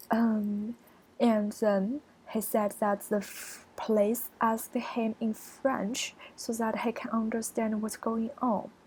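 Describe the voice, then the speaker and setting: At a very slow pace, a woman with a Chinese accent speaks in a fairly high, somewhat breathy voice with monotone, flat intonation. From China. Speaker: college student. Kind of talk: screencast presentation. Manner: halting.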